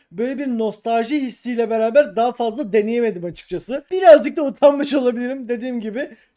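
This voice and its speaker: Rushing along at a fairly quick pace with hardly any pauses, a man with an extremely high pitch and a dark, mellow tone shows ordinary pitch variation and big swings in loudness. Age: 20s. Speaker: hobby YouTuber reviewing toys. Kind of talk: voice-over product review. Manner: casual, conversational.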